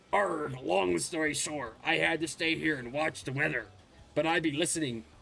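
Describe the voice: This is a put-on character voice. Its speed is moderate. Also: man, fairly high pitch for a man.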